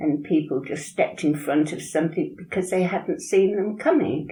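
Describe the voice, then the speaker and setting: Somewhat breathy and dark, mellow in tone, a woman speaks at a fairly low pitch with ordinary pitch variation. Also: moderate pace. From Birmingham. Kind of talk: interview answer.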